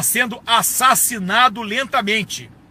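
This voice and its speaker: At a fairly slow pace, a man with a high pitch and ordinary pitch variation projects a raised voice, his bright, sharp tone sounding animated. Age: 60s. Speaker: retired army colonel. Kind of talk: political video monologue.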